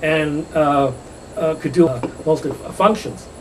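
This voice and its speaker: Against noticeable background noise, a man with a New England accent talks at a fairly high pitch. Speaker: architect and gallery owner. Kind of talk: interview. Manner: halting.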